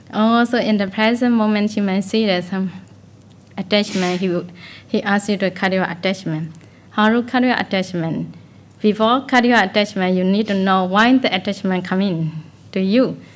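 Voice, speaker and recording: A woman with a plain, everyday voice and medium pitch talks at a moderate pace with fairly even intonation. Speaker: Buddhist meditation teacher. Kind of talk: dharma talk. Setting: meditation retreat.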